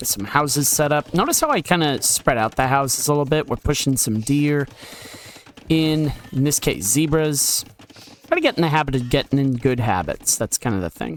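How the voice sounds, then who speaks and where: The speech moves at a moderate pace. Noticeable background noise runs throughout. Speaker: gaming commentator. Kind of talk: gameplay commentary. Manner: casual.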